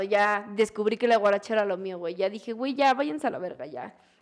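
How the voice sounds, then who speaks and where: A woman with a Mexican accent speaks at a medium pitch with lively intonation. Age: 20s. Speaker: DJ and music producer. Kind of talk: casual chat.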